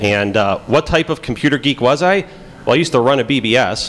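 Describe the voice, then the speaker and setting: Someone with a Chicago accent talks at a fairly quick pace with very wide pitch swings. Background noise is noticeable. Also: man. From Pittsburgh. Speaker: FBI agent giving conference talk. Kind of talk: conference talk. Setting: stage with audience. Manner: casual, many fillers.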